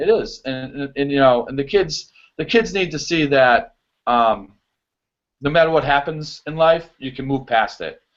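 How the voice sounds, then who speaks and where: The speaker has a strong Boston accent and ordinary pitch variation. The pace is moderate, with big swings in loudness. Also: man, fairly high pitch for a man. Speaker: show choir choreographer. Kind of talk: casual interview chat. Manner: animated, many fillers.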